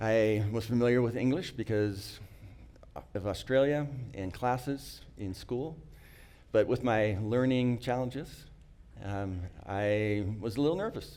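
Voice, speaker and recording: A man speaks at a fairly slow pace with long, frequent pauses. His medium-pitched voice has a dark, mellow tone and ordinary pitch variation. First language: not English. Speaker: employee sharing life story. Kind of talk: personal testimony talk. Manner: halting.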